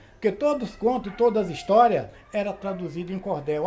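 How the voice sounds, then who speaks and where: The man's high pitch has ordinary pitch variation, heard over noticeable background noise. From Brazil, Sergipe (Northeast). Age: 70s. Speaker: cordel poet and teacher. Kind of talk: interview testimony.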